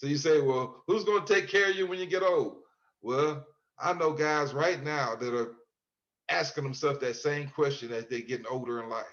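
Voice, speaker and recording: An unremarkable speaking voice from a man with an American accent, fairly high in pitch with ordinary variation, at a moderate pace. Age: 60s. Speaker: exoneree, author. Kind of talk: interview.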